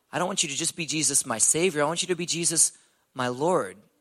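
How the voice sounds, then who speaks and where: A man with an American accent speaks in a plain, everyday voice, fairly high in pitch. His intonation is lively, and the recording is very clean with a silent background. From Texas, Houston. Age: 20s. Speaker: ninja warrior competitor. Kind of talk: testimony. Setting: church.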